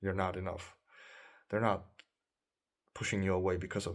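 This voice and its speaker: The voice is somewhat breathy, captured in a very clean recording with a silent background. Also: man. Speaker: dating coach. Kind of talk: monologue advice video.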